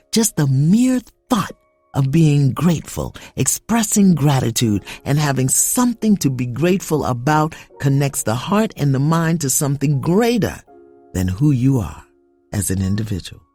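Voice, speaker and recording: A woman's very deep, low voice with very wide pitch swings at a moderate pace, music in the background. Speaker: spiritual coach. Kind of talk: guided spiritual devotional.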